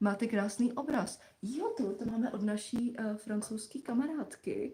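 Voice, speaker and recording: This woman has a fairly high pitch and ordinary pitch variation. At a moderate pace, she uses a plain, everyday voice. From Czechia. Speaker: live stream co-host, mother. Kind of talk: casual chat. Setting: live stream.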